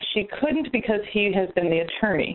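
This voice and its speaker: With noticeable background noise behind it, the voice proceeds at a fairly quick pace. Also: woman. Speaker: real estate investor. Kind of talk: call-in question. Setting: phone call.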